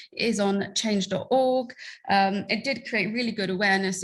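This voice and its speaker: A woman with an American accent talks very fast in a somewhat breathy voice with fairly even intonation. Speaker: LGBTQ+ content creator and activist. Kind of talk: conference talk.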